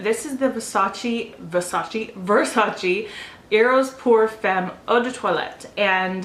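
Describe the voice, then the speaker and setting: Amid noticeable background noise, a woman speaks at a fairly high pitch. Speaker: beauty vlogger. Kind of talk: product review. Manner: fast; casual with fillers.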